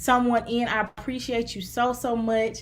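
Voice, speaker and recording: The woman's voice is high-pitched. She talks in an American accent. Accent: Southern US twang, gets stronger as she talks. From US South, Mississippi. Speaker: therapist and relationship coach. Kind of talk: live stream talk to viewers. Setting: live stream to several platforms.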